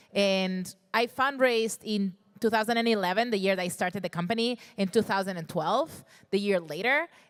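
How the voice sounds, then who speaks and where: Speaking at a fairly quick pace, a woman has a non-native accent. Her voice sits at medium pitch with ordinary pitch variation. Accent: foreign. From Spain, Barcelona. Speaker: startup founder. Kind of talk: panel discussion.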